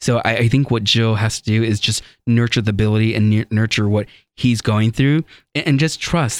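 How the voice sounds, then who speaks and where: This man has an ordinary speaking voice at medium pitch, moving at a fairly quick pace with fairly even intonation and very even loudness. The recording is very clean, with a silent background and a dry, close sound without echo. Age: 30s. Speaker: psychic medium and radio show host. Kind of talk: radio talk show. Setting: studio.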